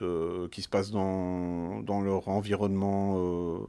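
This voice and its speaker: Very slow, fairly low speech from a man with a dark, mellow tone, on a very clean recording with a silent background. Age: 50s. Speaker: parent sharing experience. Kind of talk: testimony. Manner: halting, many fillers.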